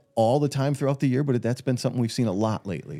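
A man speaks with music in the background. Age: under 65. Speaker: financial advisor podcast co-host. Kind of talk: casual chat. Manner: halting, many repeated words.

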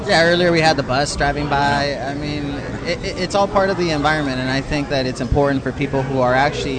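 A man at a fairly high pitch and a very fast pace, fairly even in intonation, with audible room echo and noticeable background noise. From San Diego, California. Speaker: podcast host. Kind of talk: casual chat. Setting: brewery taproom event.

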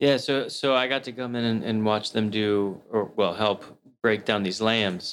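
An unremarkable speaking voice from a man of medium pitch, fairly even intonation at a fairly slow pace, in a very clean recording with a silent background. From Maryland and US South. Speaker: chef and butcher. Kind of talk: casual chat.

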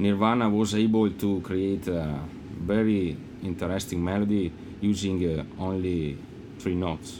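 A very deep, low-pitched man with an Italian accent, at a fairly slow pace, with audible room echo. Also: fairly even intonation. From Italy. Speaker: rock guitarist. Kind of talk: casual interview chat. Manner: halting, many fillers.

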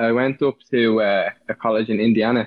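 A man speaks in a Dublin accent at a medium pitch. His intonation is fairly even. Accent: Dublin Irish. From Dublin, Ireland.

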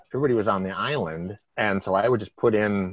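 A man is talking here. His pitch shows ordinary variation. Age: 50s. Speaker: former cruise ship crew member. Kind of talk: casual chat.

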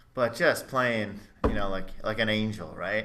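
Through audible room echo, a man with an American accent talks at medium pitch and a fairly slow pace in a bright, sharp tone. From Chicago area, US. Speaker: trumpeter and music teacher. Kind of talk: casual interview chat. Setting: video call.

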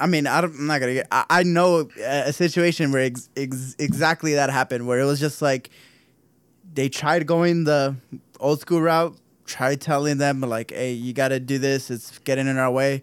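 A man speaks in an unremarkable speaking voice with an American accent. His pitch is fairly high, his intonation fairly even and his pace moderate. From Southern California. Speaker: podcast co-host. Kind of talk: casual chat.

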